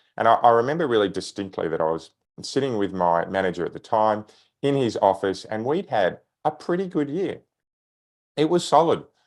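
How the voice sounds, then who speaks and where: Against a quiet background, the speaker talks at a fairly quick pace with an Australian accent and very wide pitch swings. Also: man. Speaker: sales trainer. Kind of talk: podcast interview.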